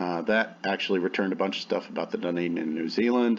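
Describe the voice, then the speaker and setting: Ordinary pitch variation runs through this man's speech. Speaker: university student. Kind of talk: student presentation, screen-share walkthrough. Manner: fast; hesitant fillers.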